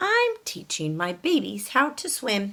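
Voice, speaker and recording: At a fairly slow pace, the speaker puts on a character voice. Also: woman. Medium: read story. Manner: brisk, apologetic.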